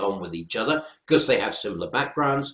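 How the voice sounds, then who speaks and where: A man speaks with a North Welsh accent. His pitch swings very widely, with vocal fry. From North Wales. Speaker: professor. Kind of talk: webinar panel discussion.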